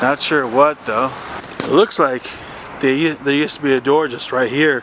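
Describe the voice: A man's fairly bright tone and fairly even intonation come through over faint background noise. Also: medium pitch for a man, fairly slow pace.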